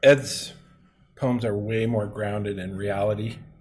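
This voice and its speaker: A man with a somewhat breathy, medium-pitched voice talks at a moderate pace. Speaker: podcast host. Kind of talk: casual conversational podcast discussion.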